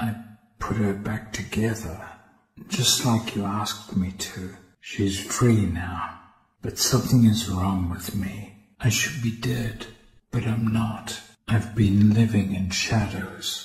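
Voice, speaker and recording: A man puts on a menacing character voice, pitched fairly low and delivered at a fairly slow pace. A slight echo hangs on the recording. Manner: quiet, haunted, menacing.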